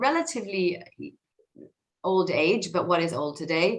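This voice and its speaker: In an Israeli accent, the speaker moves at a moderate pace with audible room echo. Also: woman. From Israel (north Tel Aviv). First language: Hebrew. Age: 40s. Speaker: tech executive and author. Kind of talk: talk to an audience. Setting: video call. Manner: hesitant, many fillers.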